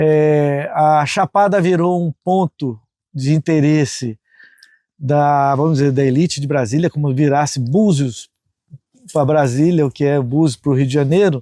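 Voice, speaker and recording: A man with a fairly high pitch and a dark, mellow tone speaks at a fairly slow pace with ordinary pitch variation and very even loudness. The recording is very clean with a silent background and a dry, close sound with no echo. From Brazil, northeastern Goiás. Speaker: farm owner, conservationist. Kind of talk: interview testimony.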